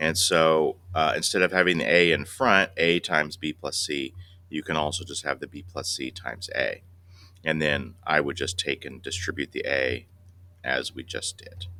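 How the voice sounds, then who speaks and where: A man speaks at a moderate pace with very deep, low pitch and vocal fry. His tone is bright and sharp, with ordinary pitch variation. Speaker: math teacher. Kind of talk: lecture.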